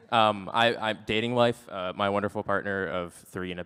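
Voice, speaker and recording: A man's fairly low voice at a moderate pace with fairly even intonation and noticeable background noise. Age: 20s. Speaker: conference staff's grown child, student. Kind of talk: conference panel talk.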